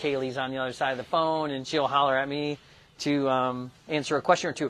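The man's delivery moves along at a fairly quick clip. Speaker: shop product demonstrator. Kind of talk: tutorial. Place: workshop. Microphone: lapel.

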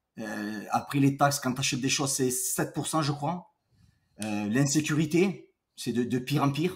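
Fairly slow, somewhat breathy speech with ordinary pitch variation. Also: man. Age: 50s. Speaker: entrepreneur, boxing coach; boxing coach. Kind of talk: casual chat. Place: home room.

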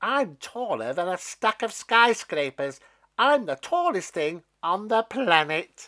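A put-on character voice with a bright, sharp tone, big pitch swings and a slow pace. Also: man, high pitch for a man.

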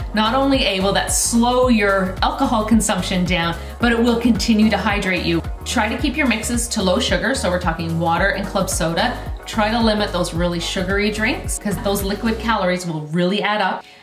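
A woman talks at a fairly quick pace. Clear music plays in the background, and the room echo is audible. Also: ordinary pitch variation. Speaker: wellness coach. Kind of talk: tips vlog talk to camera. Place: home room.

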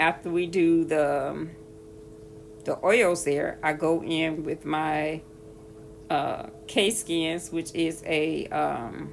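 A woman speaks at a very slow pace with long, frequent pauses over light background noise. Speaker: skincare vlogger. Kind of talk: tutorial. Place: bathroom. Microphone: phone near.

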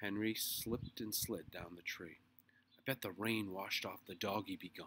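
The intonation is fairly even. It is a natural reading voice.

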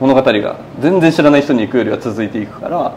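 A man's fast, lively delivery at a medium pitch, slightly mellow in tone, over faint background noise.

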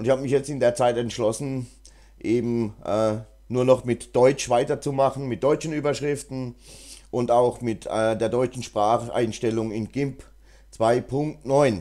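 Dark and mellow in tone, the voice moves at a fairly slow pace with fairly even intonation. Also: man, medium pitch for a man. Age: 50s. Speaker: GIMP tutorial YouTuber. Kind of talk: tutorial; casual chat. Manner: hesitant, many fillers.

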